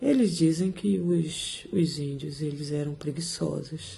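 A woman speaks with a very deep, low pitch and ordinary pitch variation. Her voice is somewhat breathy, with a dark, mellow tone. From Brazil, Salvador (Bahia). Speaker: mental health social worker. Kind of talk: conversational interview.

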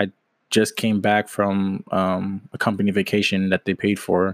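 In a very clean recording with a silent background, a man with an American accent and a fairly low pitch speaks at a fairly slow pace in a monotone, flat intonation. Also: dry, close sound with no echo. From Washington State, US Pacific Northwest. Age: 20s. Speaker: aspiring entrepreneur, podcast host. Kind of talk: casual solo podcast monologue. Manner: halting, many fillers and false starts.

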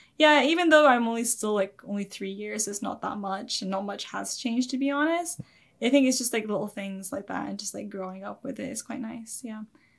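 Speaking at a fairly quick pace in a Scottish accent, a woman with a fairly high, somewhat breathy voice uses lively intonation and big swings in loudness. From Scotland. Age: 20s. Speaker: YouTube anime reactor. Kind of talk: interview.

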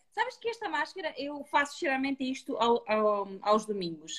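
A woman speaks in a high pitch that swings very widely. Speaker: retail beauty host. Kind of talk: online live beauty talk.

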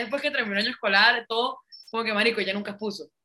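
A woman with a Venezuelan accent. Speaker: podcast co-host. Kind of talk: casual chat.

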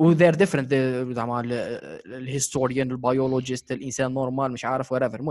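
At a moderate pace and with hardly any pauses, a man with an Arabic accent speaks in a medium pitch, his intonation fairly even and his loudness swinging widely. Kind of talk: casual chat.

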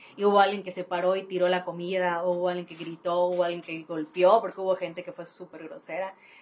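A woman with a fairly low pitch talks at a very fast pace in a monotone, flat intonation, her loudness swinging widely. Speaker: social media influencer. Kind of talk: casual chat.

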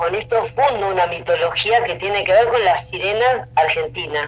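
Over noticeable background noise, a woman with a fairly high voice speaks with lively intonation. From Rosario, Argentina. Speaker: painter. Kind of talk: interview.

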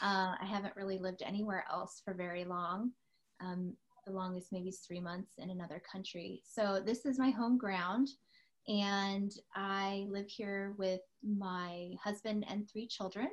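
With an American accent, a woman speaks fairly slowly at a medium pitch, her intonation fairly even and her voice somewhat breathy. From US West Coast, San Diego. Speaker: podcast co-host. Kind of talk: casual chat.

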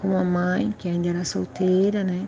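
There is noticeable background noise on this clip. A woman talks at a moderate pace. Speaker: family member sharing memories. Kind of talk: personal storytelling interview.

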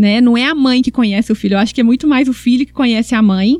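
Recorded with a dry, close sound and no echo, a woman speaks at a high pitch with ordinary pitch variation. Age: 40s. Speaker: sports psychologist. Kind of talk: podcast interview, personal story.

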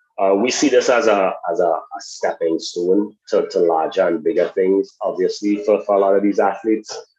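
A man with a Trinidadian accent talks at a moderate pace with hardly any pauses. His loudness stays very even. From Trinidad and Tobago. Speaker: sports education program executive. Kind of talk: interview.

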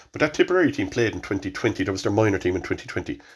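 Somewhat breathy, a man speaks at a fairly low pitch with a Cork accent. The recording is very clean, with a silent background. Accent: Cork Irish. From Ireland, Cork. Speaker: hurling coach. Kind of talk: casual chat.

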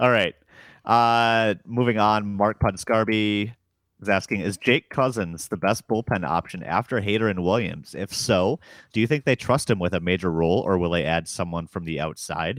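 A fairly low-pitched man with an American accent and an unremarkable speaking voice, at a moderate pace with ordinary pitch variation, on a very clean recording with a silent background. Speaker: podcast host. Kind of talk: casual podcast chat about baseball labor talks. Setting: recorded Monday night, Central Time.

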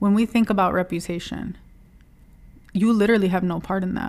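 Her pitch is medium for a woman, and her intonation stays fairly even. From US Midwest (Dearborn, Michigan; Lebanese-American). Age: 30s. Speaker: podcast host. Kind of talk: casual solo monologue.

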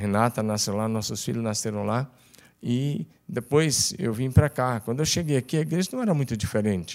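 A man speaks at a fairly quick pace with lively intonation and a medium pitch. It is a normal speaking voice, in a very clean recording with a silent background. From Tocantins, Brazil. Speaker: pastor. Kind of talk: casual chat.

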